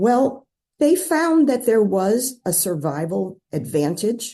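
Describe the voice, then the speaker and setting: Somewhat breathy and dark, mellow in tone, a woman speaks very slowly with very wide pitch swings. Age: 70s. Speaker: newspaper columnist. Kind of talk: interview.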